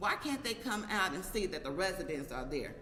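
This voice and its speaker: Moderate pace, with noticeable background noise and audible room echo. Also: woman. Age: 60s. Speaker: local resident, community activist. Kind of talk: press conference statement.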